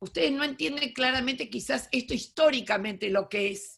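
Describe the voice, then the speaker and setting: Her pitch is high, and this woman speaks at a moderate pace with ordinary pitch variation. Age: 70s. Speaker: education lecturer, retired teacher. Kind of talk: lecture.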